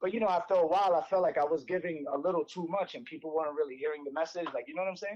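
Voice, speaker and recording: A man with a New York accent talks at a very fast pace with hardly any pauses. His pitch is high, with ordinary pitch variation. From New York City, the Bronx. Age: 40s. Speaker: inline skating instructor. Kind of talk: casual interview. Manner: rambling.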